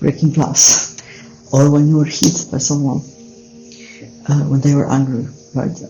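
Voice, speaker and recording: In a European accent, the speaker talks at a fairly slow pace with long, frequent pauses while music plays in the background. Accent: non-native English, European. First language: not English. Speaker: self-help coach. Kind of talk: casual talk to camera. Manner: hesitant, many filler sounds.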